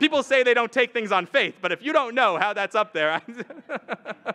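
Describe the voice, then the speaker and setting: A man's raised, projected voice, extremely high-pitched, at a fairly quick pace with ordinary pitch variation, dry and close with no echo. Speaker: rabbi, lecturer. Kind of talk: lecture. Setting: stage with audience at a retreat. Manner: fast.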